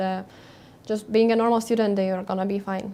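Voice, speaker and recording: A woman speaks with a Lithuanian accent, her pitch fairly high and her tone dark and mellow. Her intonation stays monotone and flat. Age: 20s. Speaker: airline pilot. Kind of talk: Q&A session. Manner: hesitant, many fillers.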